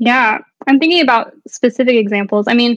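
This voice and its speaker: With a Texan accent, a woman speaks with ordinary pitch variation. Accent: Texan American. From Texas, Dallas. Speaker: artist and art professor. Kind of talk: interview.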